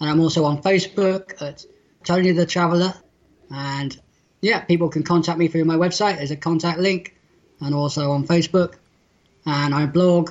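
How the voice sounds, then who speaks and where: Moderate pace in a West Country accent. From southwest England, near Bristol. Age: 40s. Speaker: blind world traveller and author. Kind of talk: interview.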